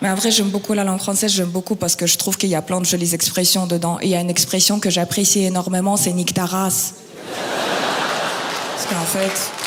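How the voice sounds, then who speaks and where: With noticeable background noise behind her, a woman speaks at medium pitch in a monotone, flat intonation at very even loudness. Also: fairly quick pace. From Kazakhstan. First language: Russian (speaking French). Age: 20s. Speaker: stand-up comedian. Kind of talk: stand-up.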